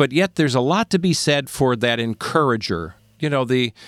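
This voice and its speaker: This man has a normal speaking voice at medium pitch. The recording is very clean and dry, close with no echo, over a silent background. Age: 60s. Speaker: podcast host. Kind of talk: casual chat.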